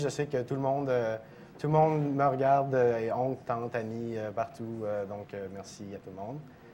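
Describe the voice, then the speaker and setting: A man's voice in a French Canadian accent. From Quebec, French Canada. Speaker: speedrunner. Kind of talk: live commentary. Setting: live stream event.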